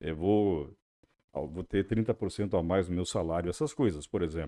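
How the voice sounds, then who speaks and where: A man with a dark, mellow tone talks at a moderate pace in a very clean recording with a silent background. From Santa Catarina interior, Brazil (German-speaking family). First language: German (speaking Portuguese). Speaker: radio journalist and interviewer. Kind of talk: podcast interview.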